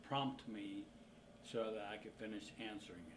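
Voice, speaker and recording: At a moderate pace, a man speaks with noticeable background noise and audible room echo. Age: 50s. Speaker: organ transplant recipient. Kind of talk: interview testimony.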